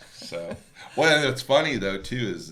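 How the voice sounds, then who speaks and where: Noticeable background noise surrounds the recording. A man speaks with an American accent. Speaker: auctioneer. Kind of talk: podcast interview answer. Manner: casual, conversational.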